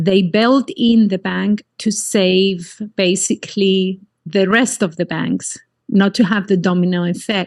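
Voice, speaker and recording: Her sound is dry and close, with no echo. The woman speaks at a fairly slow pace, medium in pitch, with fairly even intonation. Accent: Greek. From Cyprus. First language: Greek. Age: 50s. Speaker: life coach. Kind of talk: interview.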